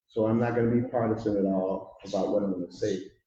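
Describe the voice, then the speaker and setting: The voice belongs to a man, somewhat breathy. Its tone is dark and mellow. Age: 70s. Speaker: pastor. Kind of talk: public speech at community town hall. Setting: community hall with audience. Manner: impassioned.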